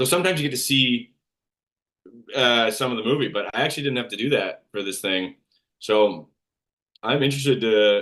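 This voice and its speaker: Mumbling at a fairly quick pace, a man speaks with a bright, sharp tone, medium pitch and ordinary pitch variation. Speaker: actor. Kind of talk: interview. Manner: uneven pauses when ranting.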